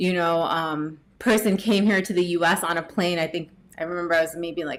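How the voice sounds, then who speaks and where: Fairly quick and fairly low-pitched, a woman with a New Jersey accent speaks with fairly even intonation. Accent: General American, New Jersey. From US, New Jersey. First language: Gujarati. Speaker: tech professional and yoga teacher. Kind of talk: podcast interview.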